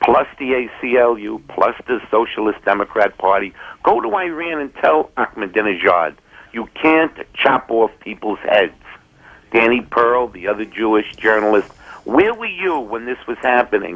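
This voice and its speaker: With a normal speaking voice, a man talks at a medium pitch and a moderate pace, using lively intonation. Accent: American. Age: 60s. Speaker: caller, Vietnam veteran. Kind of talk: call-in comment. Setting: phone call.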